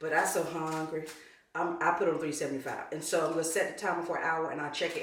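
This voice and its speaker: A woman with an American accent talks at a very fast pace. Audible room echo and noticeable background noise surround her. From North Carolina. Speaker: home cook, channel host. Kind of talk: cooking tutorial. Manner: casual, chatty.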